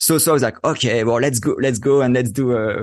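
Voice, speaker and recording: A man with a French accent speaks at a fairly quick pace, his pitch medium. The background is quiet, and his pitch variation is ordinary. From France, Paris. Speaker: photographer. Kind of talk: interview.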